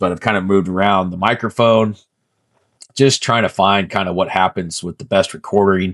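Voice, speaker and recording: A man speaks at a fairly quick pace with a fairly low pitch and fairly even intonation. The sound is dry and close with no echo, on a very clean recording with a silent background. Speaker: fitness vlogger. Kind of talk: casual vlog monologue. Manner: hesitant, many fillers.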